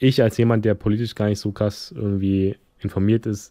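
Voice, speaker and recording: At a fairly quick pace, a man speaks in a fairly low, dark, mellow tone with monotone, flat intonation, the sound dry and close with no echo. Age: 20s. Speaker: podcast host and YouTuber. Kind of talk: casual solo podcast monologue.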